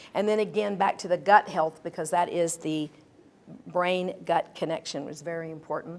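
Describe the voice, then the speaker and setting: A woman speaks at a fairly quick pace with ordinary pitch variation. The recording is very clean, with a silent background. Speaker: doctor giving health talk. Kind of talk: live talk to audience. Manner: fast; animated.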